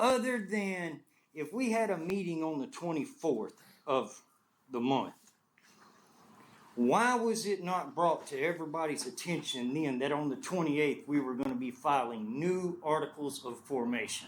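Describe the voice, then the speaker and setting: In a Texas accent, a man speaks loudly at a moderate pace, his fairly high pitch making very wide swings. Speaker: property owner, business owner. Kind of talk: public comment at meeting. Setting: community meeting with audience.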